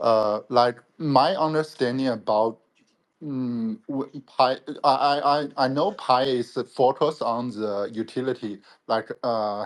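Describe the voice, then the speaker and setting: A man with a non-native accent speaks at a very slow pace. His pitch is medium with ordinary variation, and the background is quiet. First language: not English. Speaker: panel speaker. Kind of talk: panel discussion. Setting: online audio room. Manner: halting.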